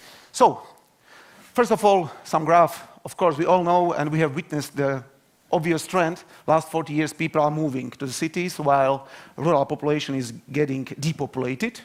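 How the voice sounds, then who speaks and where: A man speaks with a Slovak accent. His pitch varies in an ordinary way. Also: fairly high pitch for a man, moderate pace. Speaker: university researcher. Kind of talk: conference talk. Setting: stage with audience. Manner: halting.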